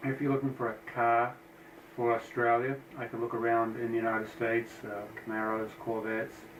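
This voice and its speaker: Noticeable background noise sits behind a man with an American accent who speaks at a fairly quick pace in a monotone, flat intonation. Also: medium pitch for a man. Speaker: engine builder. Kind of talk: casual shop tour narration. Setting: office. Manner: hesitant with fillers.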